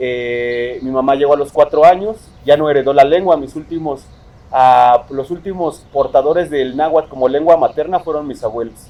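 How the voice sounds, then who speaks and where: With a dark, mellow tone, a man at a fairly high pitch talks at a moderate pace with ordinary pitch variation and big swings in loudness. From Mexico City. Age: 30s. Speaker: poet. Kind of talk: interview.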